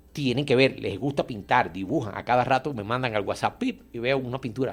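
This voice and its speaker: At a very fast pace with hardly any pauses, a man speaks at a medium pitch with ordinary pitch variation. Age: 60s. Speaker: artist and painter. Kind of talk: radio interview.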